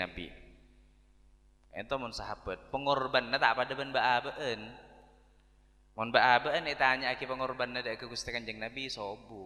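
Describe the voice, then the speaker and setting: The tone is bright and sharp, with fairly even intonation at a moderate pace. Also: man. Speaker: Islamic preacher. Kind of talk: sermon.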